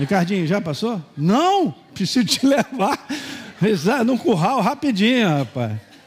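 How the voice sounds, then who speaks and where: Amid noticeable background noise, a man speaks at a high pitch with very wide pitch swings. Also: fairly slow pace. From Minas Gerais, Brazil. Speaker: pastor. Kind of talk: sermon. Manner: animated.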